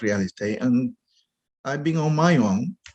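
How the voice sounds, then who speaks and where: A voice with a Spanish accent moves through very wide swings in pitch. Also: man. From Dominican Republic. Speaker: real estate investor. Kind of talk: interview. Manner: halting.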